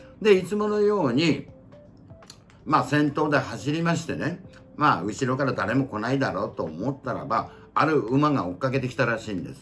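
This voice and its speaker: A man's pitch swings very widely. Background music plays behind him. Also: fairly high pitch for a man, moderate pace. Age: 70s. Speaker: senior YouTuber. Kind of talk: storytelling about horse racing history.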